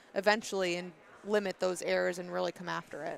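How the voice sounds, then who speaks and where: A woman talks at a fairly quick pace. The sound is dry and close with no echo, in a very clean recording with a silent background. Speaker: volleyball color commentator. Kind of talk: live commentary. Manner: fast.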